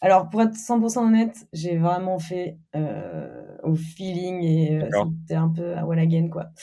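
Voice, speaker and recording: A fairly low female voice, dark and mellow in tone, with ordinary pitch variation. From Normandy, France (Caen). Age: 20s. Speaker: company CEO. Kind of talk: interview. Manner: casual, hesitant with fillers.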